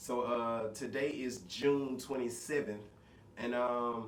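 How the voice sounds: A slow-paced man with fairly even intonation, in audible room echo. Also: medium pitch for a man.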